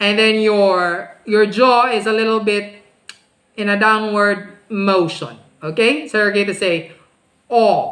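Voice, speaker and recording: The room echo is audible as a woman speaks very slowly at a medium pitch. Her intonation stays fairly even. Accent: Filipino. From Philippines. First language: Filipino language. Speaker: speech teacher. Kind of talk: online class tutorial. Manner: slow, demonstrative enunciation; exaggerated pronunciation.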